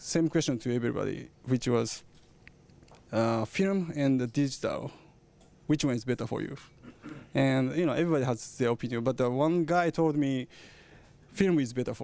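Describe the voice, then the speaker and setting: A man with a Japanese accent talks at a moderate pace in a fairly high pitch, with ordinary pitch variation. His tone is dark and mellow, and he leaves long, frequent pauses. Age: 30s. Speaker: camera engineer. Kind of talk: product presentation. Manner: halting.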